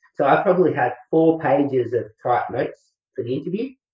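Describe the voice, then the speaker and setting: A man speaks at a fairly quick pace in a somewhat breathy voice. His pitch varies in an ordinary way. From regional Australia. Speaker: public speaking coaching student. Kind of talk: interview. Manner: laid back; halting, repeats words.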